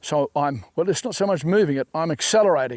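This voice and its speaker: Fairly high in pitch, a man speaks fairly quickly in a normal speaking voice with ordinary pitch variation, the sound dry and close with no echo. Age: 60s. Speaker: fly fishing casting instructor. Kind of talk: tutorial.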